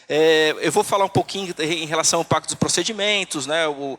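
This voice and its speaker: The voice has a bright, sharp tone and fairly even intonation, moving at a fairly quick pace. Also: man. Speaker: tax auditor, conference speaker. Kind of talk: conference talk. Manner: halting, many fillers.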